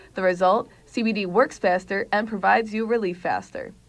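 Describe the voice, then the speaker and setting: A woman speaks at a fairly quick pace in medium pitch. It is a normal speaking voice. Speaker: student TV reporter. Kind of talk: TV news report.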